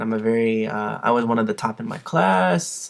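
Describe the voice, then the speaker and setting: A man's medium-pitched voice with an American accent and ordinary pitch variation. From United States, Filipino American family. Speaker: nurse. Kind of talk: vlog monologue. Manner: halting, many fillers and restarts; eloquent, careful diction.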